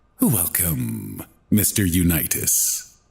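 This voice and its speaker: Very deep, low-pitched put-on character voice from a man. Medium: read story. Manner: smooth, courteous.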